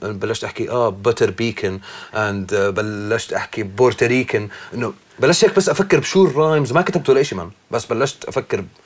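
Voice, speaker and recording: Over noticeable background noise, a man at medium pitch talks at a moderate pace with very wide pitch swings. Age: 40s. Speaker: rapper. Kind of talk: casual chat.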